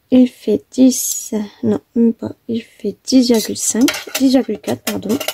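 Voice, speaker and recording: Soft-spoken and fairly high in pitch, a woman speaks at a very slow pace with ordinary pitch variation in a dry, close sound with no echo. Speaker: papercraft tutorial maker. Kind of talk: tutorial. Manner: hesitant, many fillers.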